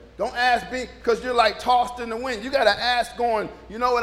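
A man at an extremely high pitch, talking fairly quickly with hardly any pauses, over noticeable background noise. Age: 60s. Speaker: pastor. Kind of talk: informal conversational sermon with scripture reading and call-and-response amens. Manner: loose, chatty and animated, with frequent repetitions, stumbles and laughter; audience-engaging, prompting amens and joking with the congregation.

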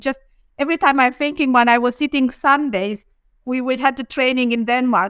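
A woman speaks with a Romanian accent at a fairly quick pace. Her pitch is high. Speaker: engineering executive. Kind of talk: live panel discussion.

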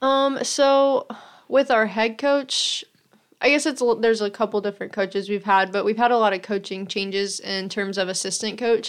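An ordinary speaking voice moves at a moderate pace with ordinary pitch variation. The background is quiet. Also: woman, fairly high pitch for a woman. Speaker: college soccer player. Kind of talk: casual interview.

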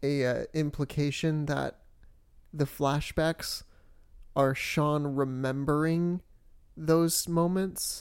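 Delivered at a very slow pace, the speech comes through in a very clean recording with a silent background. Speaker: podcast co-host. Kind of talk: casual chat.

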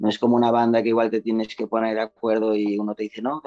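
A man speaks at a fairly low pitch with a dark, mellow tone, the sound dry and close with no echo against a quiet background. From Mallorca, Spain. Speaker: singer-songwriter. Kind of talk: interview.

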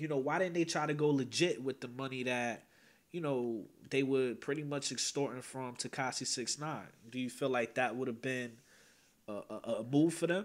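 A man talks at a medium pitch and a moderate pace with ordinary pitch variation. It is a plain, everyday voice. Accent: American. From northern New Jersey (Teaneck). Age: 20s. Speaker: YouTube commentary host. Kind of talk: casual panel discussion. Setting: online livestream.

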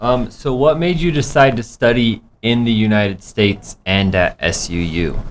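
With an American accent and an unremarkable speaking voice, a man talks at a fairly slow pace. His intonation is lively. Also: medium pitch for a man, hardly any pauses. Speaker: radio host. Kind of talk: casual radio interview. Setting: radio studio.

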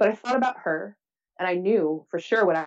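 A woman with an unremarkable speaking voice talks at a moderate pace in a fairly low pitch. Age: 40s. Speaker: writer and public speaker, business coach. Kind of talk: casual interview chat.

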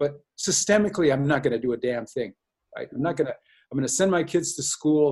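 A somewhat breathy man with an American accent speaks at a fairly high pitch. He talks at a fairly quick pace with ordinary pitch variation. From US Midwest, North Dakota reservation. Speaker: social work professor and dean. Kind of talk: interview. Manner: halting, many repetitions.

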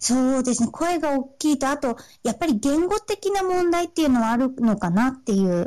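Her pitch high and swinging very widely, a woman speaks at a moderate pace with very even loudness. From Sendai, Miyagi, Japan. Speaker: aspiring singer/performer. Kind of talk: casual interview chat. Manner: halting, many fillers.

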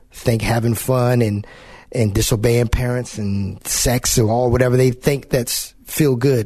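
Over a quiet background, a man with a medium pitch speaks fairly slowly in a somewhat breathy voice with a dark, mellow tone. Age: 40s. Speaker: radio show host. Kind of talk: interview. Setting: studio.

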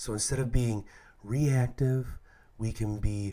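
Somewhat breathy man, medium in pitch, at a fairly slow pace on a very clean recording with a silent background. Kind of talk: reflective talk, homily-style podcast reflection. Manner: casual, conversational, with filler words.

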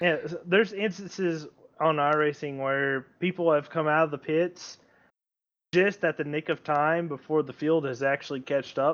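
Using a normal speaking voice, a man talks at a moderate pace with a fairly high pitch and fairly even intonation. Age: 20s. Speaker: sim racer. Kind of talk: casual chat.

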